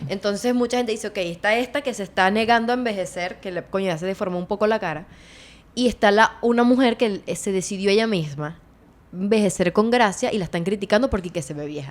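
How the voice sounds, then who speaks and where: Her pitch is medium, with ordinary variation. The woman talks at a very fast pace. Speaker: podcast host. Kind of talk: casual podcast conversation. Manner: animated.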